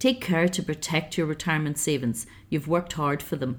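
A woman with a Northern Irish accent speaks at a moderate pace in a fairly low pitch, on a very clean recording with a silent background. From Northern Ireland, County Down. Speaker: financial advisor. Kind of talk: interview. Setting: hotel.

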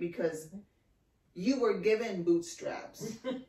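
With audible room echo and noticeable background noise, a woman speaks at a moderate pace with ordinary pitch variation. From Texas. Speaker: podcast host. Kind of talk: casual chat.

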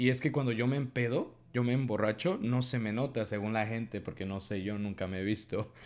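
A man's plain, everyday voice at medium pitch, fairly quick with hardly any pauses and ordinary pitch variation, on a very clean recording with a silent background. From Mexico. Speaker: podcast co-host. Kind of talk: casual chat.

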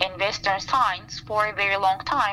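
Against noticeable background noise, a woman speaks at medium pitch with a Turkish accent. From Turkey, Istanbul. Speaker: plant scientist. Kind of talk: interview. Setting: outdoors by a campfire.

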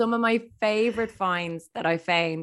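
On a very clean recording with a silent background, a woman speaks with an Irish accent in a dry, close sound with no echo. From Ireland. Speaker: radio presenter and journalist. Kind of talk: casual interview chat.

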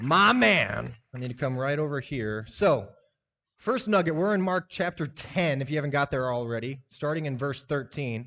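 With an American accent, a man has an ordinary speaking voice and fairly high pitch. He talks at a moderate pace with lively intonation. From US Midwest (Lincoln, Nebraska). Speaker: lay preacher. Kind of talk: sermon. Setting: church audience. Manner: casual.

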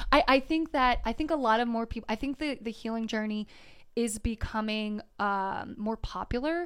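A woman with an American accent and an unremarkable speaking voice talks at a moderate pace in a fairly high pitch with ordinary variation, in a very clean recording with a silent background. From US Delaware. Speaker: spiritual mentor. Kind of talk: casual interview chat.

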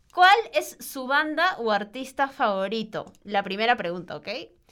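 This woman's fairly high voice has a bright, sharp tone and very wide pitch swings. She goes at a fairly slow pace, with big swings in loudness. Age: 20s. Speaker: podcast host, journalism student. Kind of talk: casual chat.

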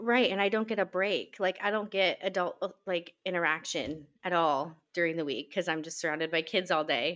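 At a moderate pace and with hardly any pauses, a woman speaks in an ordinary speaking voice with a fairly low pitch and ordinary pitch variation, on a very clean recording with a silent background. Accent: American. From Nebraska. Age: 20s. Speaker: podcast co-host, stay-at-home mom. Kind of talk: casual chat.

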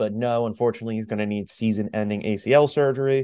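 Against a quiet background, a man with a medium-pitched, dark and mellow voice speaks very fast with fairly even intonation. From Long Island, New York. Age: 20s. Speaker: podcast co-host. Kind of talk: casual chat.

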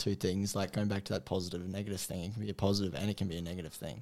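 This man's voice is fairly low in pitch, with a dark, mellow tone. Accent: Australian. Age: young. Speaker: charity runner. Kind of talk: casual chat.

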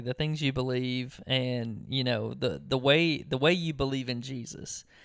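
A man talks in a normal speaking voice at a moderate pace. He has ordinary pitch variation and hardly any pauses. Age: 30s. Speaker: podcast co-host. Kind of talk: casual chat.

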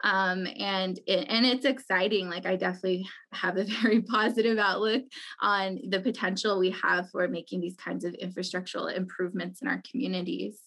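This is an unremarkable speaking voice: a woman with an American accent and medium pitch. She talks at a fairly quick pace with ordinary pitch variation. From Navajo Nation, Monument Valley, Utah. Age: 20s. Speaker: community center director. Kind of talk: interview.

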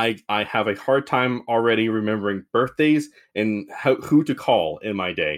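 This man has an unremarkable speaking voice at a medium pitch. His pace is moderate, with ordinary pitch variation. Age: 30s. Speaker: podcast host. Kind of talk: casual chat.

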